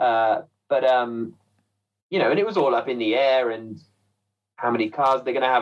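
A man with an English Midlands accent, at a very fast pace. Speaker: motorsport commentator. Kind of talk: casual chat.

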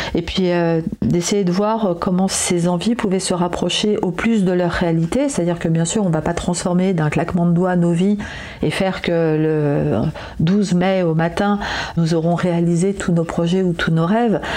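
Over noticeable background noise, a woman with a fairly low pitch talks at a fairly slow pace, keeping her loudness very even and her intonation fairly even. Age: 40s. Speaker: therapist. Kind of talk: personal audio diary.

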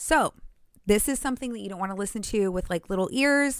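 A woman has a plain, everyday voice at a medium pitch with lively intonation. The recording is very clean, with a silent background. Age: 30s. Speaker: podcast host. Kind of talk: casual chat.

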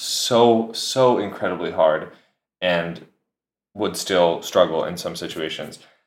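A man with an American accent at a very slow pace, with ordinary pitch variation. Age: 20s. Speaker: orchestral oboist. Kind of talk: interview. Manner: hesitant with fillers.

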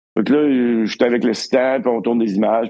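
Speaking in a Quebec accent, a man moves at a fairly quick pace with fairly even intonation. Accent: Québécois French. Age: 60s. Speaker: cinematographer. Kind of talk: casual chat.

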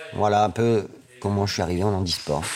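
Over noticeable background noise, a man talks at a moderate pace with fairly even intonation and fairly low pitch. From northern France (Amiens). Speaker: table tennis coach. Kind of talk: interview.

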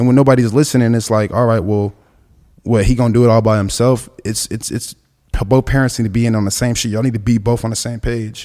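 A man with an American accent speaks very fast at medium pitch. His tone is dark and mellow, his intonation monotone and flat. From Los Angeles, South Central. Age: 20s. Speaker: skateboarder, musician. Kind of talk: casual chat.

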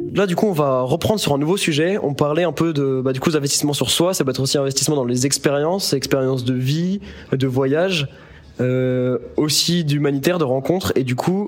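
A man's fairly high, ordinarily varied voice at a fairly quick pace, over noticeable background noise. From Lyon, France. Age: 20s. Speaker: pharmacy student, podcast co-host. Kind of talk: casual chat.

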